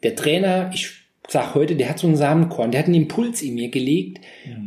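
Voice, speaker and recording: The man's voice sits fairly high in pitch, with lively intonation. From Saarland, Germany. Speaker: motivational speaker and coach. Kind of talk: interview. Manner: animated.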